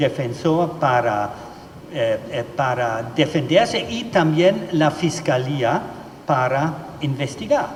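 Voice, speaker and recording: A man's fairly high voice with a German accent at a very slow pace, amid noticeable background noise and audible room echo. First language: German (speaking Spanish). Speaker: legal expert speaker. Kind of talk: conference presentation. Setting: judicial plenary session hall. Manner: halting, many filler sounds.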